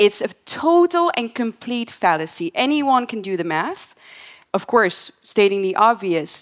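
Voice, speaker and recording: Very wide pitch swings at a fairly slow pace. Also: woman, fairly high pitch for a woman. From Netherlands. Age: young. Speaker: political commentator. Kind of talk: panel discussion.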